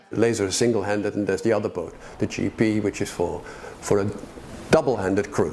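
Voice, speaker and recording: A man with a fairly low pitch talks over noticeable background noise. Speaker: amateur dinghy sailor. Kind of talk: documentary interview. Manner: halting.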